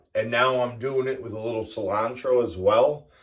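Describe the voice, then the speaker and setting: With an American accent, a man speaks in a plain, everyday voice at a moderate pace, medium in pitch with ordinary pitch variation. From US Northeast. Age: 50s. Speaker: fitness vlogger. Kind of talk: casual vlog monologue. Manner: casual, with fillers.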